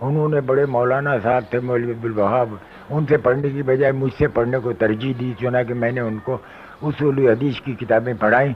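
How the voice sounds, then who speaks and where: The intonation is fairly even, with noticeable background noise behind the voice. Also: man. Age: 80s+. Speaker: Arabic scholar and professor. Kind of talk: radio interview.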